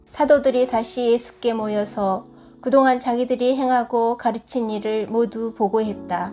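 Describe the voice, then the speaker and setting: With music in the background, a woman of fairly high pitch talks at a fairly slow pace and fairly even intonation. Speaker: church deaconess. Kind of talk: scripture reading.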